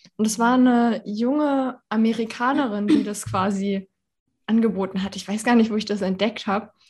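Her voice somewhat breathy, a woman speaks at a moderate pace with a fairly high pitch and fairly even intonation. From Germany, Berlin. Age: 30s. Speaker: women's health consultant. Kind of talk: casual interview.

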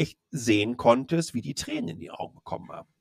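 Vocal fry marks a man's voice at a fairly quick pace, with a dry, close sound and no echo. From Germany, Ruhr area (Dortmund). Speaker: tech blogger and communications executive. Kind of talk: casual interview chat.

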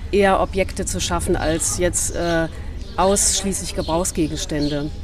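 Over music in the background, a woman talks at a moderate pace, with audible room echo. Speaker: ceramic artist. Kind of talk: casual interview. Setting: outdoors.

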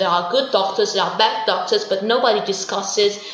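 A woman speaks with an Italian accent. There is audible echo from the room. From southern Italy, Puglia. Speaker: interpreter and researcher. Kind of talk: interview. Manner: hesitant with fillers.

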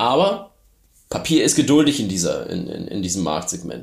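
An ordinary speaking voice, a man's, fairly low in pitch at a moderate pace. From Germany. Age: 40s. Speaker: startup founder. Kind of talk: interview.

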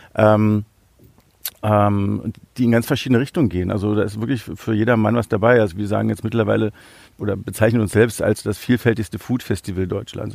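A man speaks at a fairly quick pace in a fairly low pitch. The sound is dry and close with no echo, and his intonation is fairly even. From Berlin, Germany. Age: 40s. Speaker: event founder. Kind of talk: podcast interview. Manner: hesitant with many fillers.

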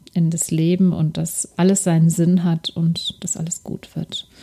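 A woman speaks at a fairly slow pace with a fairly low pitch. Her tone is dark and mellow, and her voice is somewhat breathy. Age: 40s. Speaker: lifestyle podcast host. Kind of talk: solo podcast monologue, personal testimony and coaching.

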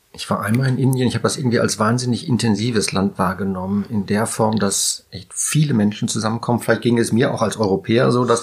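A man speaks at a very fast pace in a medium pitch. Vocal fry runs through his voice. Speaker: podcast host. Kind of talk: casual interview.

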